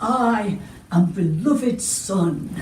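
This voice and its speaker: A woman's put-on character voice at medium pitch with lively intonation, over clear background noise. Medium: read story. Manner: earnest, guileless.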